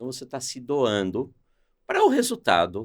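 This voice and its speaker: This man's medium-pitched voice has vocal fry and very wide pitch swings, delivered at a moderate pace. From Brazil, São Paulo. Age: 60s. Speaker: sales executive. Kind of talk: podcast interview.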